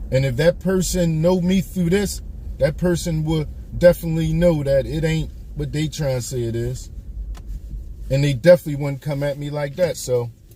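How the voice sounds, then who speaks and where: A man speaks at a fairly high pitch. Noticeable background noise sits behind him. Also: ordinary pitch variation, moderate pace. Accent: American. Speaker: live streamer. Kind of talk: casual live stream monologue. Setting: live stream. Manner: animated.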